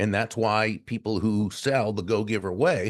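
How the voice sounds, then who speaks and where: A man speaks at a fairly slow pace in a normal speaking voice, fairly low in pitch, against a quiet background. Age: 60s. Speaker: motivational speaker and author. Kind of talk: podcast interview.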